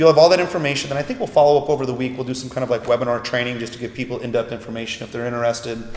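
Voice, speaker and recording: Noticeable background noise accompanies speech with ordinary pitch variation. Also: man. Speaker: internet marketing expert. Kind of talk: interview. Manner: fast.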